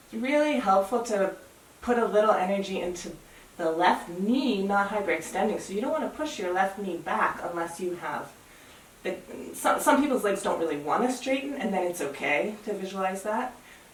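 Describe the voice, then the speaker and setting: A woman at a medium pitch with an American accent, lively intonation and a moderate pace, amid noticeable background noise and audible room echo. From US. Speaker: yoga teacher. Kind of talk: guided yoga class. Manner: calm, relaxed.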